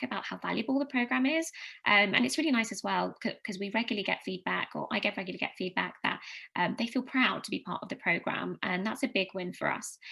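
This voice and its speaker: Talking at a very fast pace, a woman uses a fairly high pitch with vocal fry. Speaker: customer advocacy team member presenting at a conference. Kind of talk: conference presentation. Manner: hesitant, many fillers.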